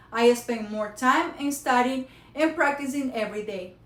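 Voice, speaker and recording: A woman speaks with a high pitch and ordinary pitch variation at a moderate pace. Noticeable background noise runs underneath. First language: Spanish. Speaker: college student. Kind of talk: prepared speech. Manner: halting.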